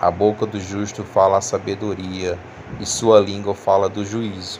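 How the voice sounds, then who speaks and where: Noticeable background noise runs beneath speech that unfolds fairly slowly. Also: man. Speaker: religious youtuber. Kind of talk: bible teaching. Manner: halting.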